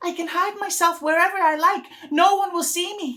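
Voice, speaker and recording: A man's put-on character voice, squeaky and extremely high-pitched, at a moderate pace. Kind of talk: poetic monologue. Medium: audio drama. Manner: wistful, reflective.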